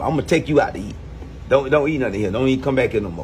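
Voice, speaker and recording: A man talks with music playing in the background. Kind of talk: comedic skit banter. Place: shop. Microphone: phone near.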